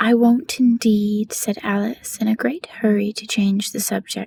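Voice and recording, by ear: With fairly even intonation, someone is reading aloud in a natural voice.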